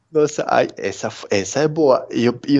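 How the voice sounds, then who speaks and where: A man speaks with a Peruvian accent. There is noticeable background noise. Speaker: interview guest, immigrant. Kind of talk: casual interview. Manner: hesitant, many fillers.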